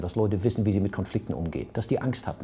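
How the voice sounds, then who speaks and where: A man speaks with a fairly low pitch. His tone is dark and mellow, and somewhat breathy. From Hamburg, northern Germany. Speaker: entrepreneur and business consultant. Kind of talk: interview. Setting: office overlooking harbour.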